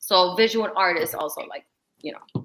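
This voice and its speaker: This woman's voice sits at a fairly low pitch. Her tone is bright and sharp. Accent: New York. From New York City. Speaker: visual artist and content creator. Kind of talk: casual chat.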